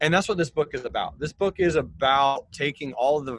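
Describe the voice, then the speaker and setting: A man speaks in a plain, everyday voice at a fairly quick pace. His intonation is lively. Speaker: financial educator. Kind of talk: interview conversation explaining finance. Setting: video call.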